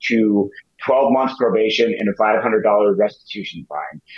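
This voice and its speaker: A man with a plain, everyday voice, medium in pitch, at a fairly slow pace. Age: 40s. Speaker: January 6th defendant. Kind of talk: interview.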